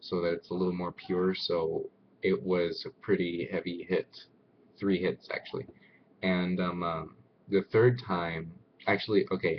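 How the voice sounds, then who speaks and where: A man speaks at a fairly slow pace, with long, frequent pauses. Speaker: vlogger. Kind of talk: personal testimony. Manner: hesitant with fillers.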